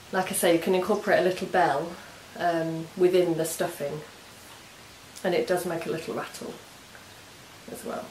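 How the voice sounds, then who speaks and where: With an English accent and a fairly low pitch, a woman speaks at a moderate pace amid audible room echo and noticeable background noise. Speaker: knitting and crafts podcaster. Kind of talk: casual craft vlog chat. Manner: hesitant, many ums.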